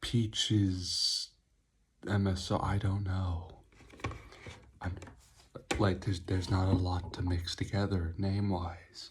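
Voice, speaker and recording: Whispering, a soft-spoken man uses a calm tone and a somewhat breathy voice. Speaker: energy drink reviewer. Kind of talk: ASMR-style product review. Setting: close to the mic. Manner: whispering, very quiet; soft and calm.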